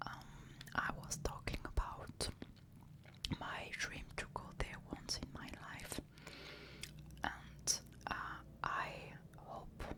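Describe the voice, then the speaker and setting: Someone whispers at a very slow pace with long, frequent pauses. Noticeable background noise can be heard. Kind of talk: ASMR soft-spoken talk. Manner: soft-spoken, whispered, slow.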